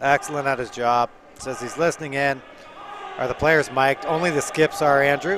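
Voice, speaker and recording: Noticeable background noise behind a man with a fairly high pitch, moderate pace and ordinary pitch variation. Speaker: curling commentator. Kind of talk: live commentary.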